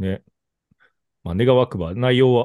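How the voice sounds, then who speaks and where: A man with a Kobe accent and ordinary pitch variation. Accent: Kansai (Kobe) Japanese. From Kobe, Hyogo, Japan. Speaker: podcast host. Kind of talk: casual chat. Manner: talkative, animated.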